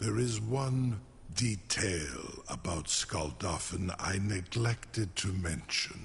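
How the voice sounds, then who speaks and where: With clear background noise behind it, a put-on character voice speaks at a very slow pace. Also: man, fairly low pitch for a man. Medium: video game. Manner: slow, deliberate, grandiose.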